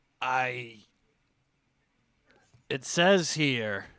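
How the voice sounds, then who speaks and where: A man's put-on character voice at medium pitch, in a very clean recording with a silent background. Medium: actual play. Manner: hesitant, halting.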